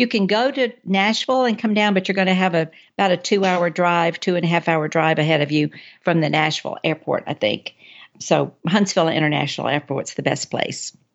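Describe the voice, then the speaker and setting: Her intonation lively, a woman talks with an Alabama accent. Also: fairly low pitch for a woman, fairly quick pace, very even loudness. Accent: US Southern (Alabama). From North Alabama (Athens). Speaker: travel book author. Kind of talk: casual interview.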